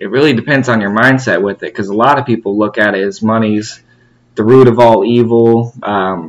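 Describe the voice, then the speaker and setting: A man talks at a moderate pace with a medium pitch. He has an ordinary speaking voice. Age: 20s. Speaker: podcast host. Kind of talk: interview.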